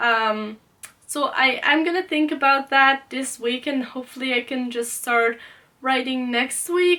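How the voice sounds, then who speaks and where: A woman with a Dutch accent speaks in a raised, projected voice, high in pitch and bright and sharp in tone. Her pace is fairly slow, with ordinary pitch variation. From Netherlands. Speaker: book youtuber. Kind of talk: casual vlog talk. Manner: hesitant, many fillers.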